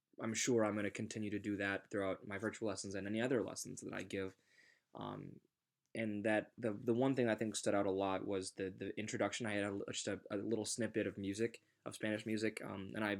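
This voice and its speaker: Very fast and in monotone, flat intonation, a man talks at a fairly low pitch. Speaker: student teacher. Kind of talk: self-reflection monologue. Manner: playful.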